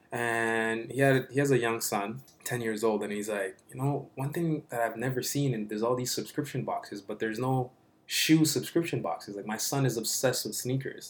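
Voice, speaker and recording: An unremarkable speaking voice from a man, moderately paced and medium-pitched, with fairly even intonation. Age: 30s. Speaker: app founder and CEO. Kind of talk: casual interview.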